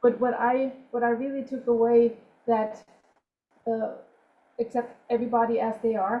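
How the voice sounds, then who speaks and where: Here a woman with a non-native accent speaks at a moderate pace, using long, frequent pauses. Her high pitch stays in a monotone, flat intonation. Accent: foreign. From outside the US. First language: not English. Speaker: yoga instructor and emergency medicine worker, webinar attendee. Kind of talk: audience comment in webinar.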